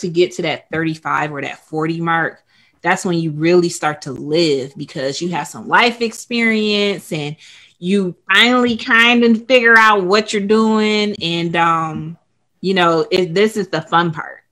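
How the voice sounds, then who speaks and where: A woman speaks at a fairly slow pace, her medium pitch varying in an ordinary way with a bright, sharp tone. The recording is very clean, with a silent background. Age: 30s. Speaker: book club host. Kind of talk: author interview.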